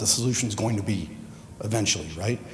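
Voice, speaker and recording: Audible room echo can be heard on a man's speech. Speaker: executive director of the organizing consortium. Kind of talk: conference panel remarks.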